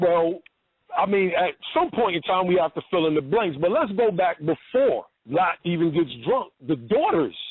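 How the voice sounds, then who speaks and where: The voice has lively intonation and very even loudness, with a New York accent. The pace is moderate. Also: man, high pitch for a man. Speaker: religious debater. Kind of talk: phone-in debate.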